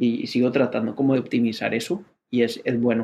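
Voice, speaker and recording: A man talks at a fairly slow pace with fairly even intonation and medium pitch. His tone is dark and mellow. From Colombia. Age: 30s. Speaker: venture capital investor. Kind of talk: interview.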